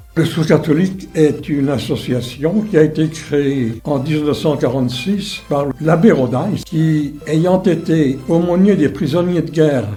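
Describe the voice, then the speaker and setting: Talking at a very slow pace with hardly any pauses, a man with a fairly high pitch and ordinary pitch variation is heard with audible room echo and music in the background. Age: 90s. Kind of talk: interview monologue.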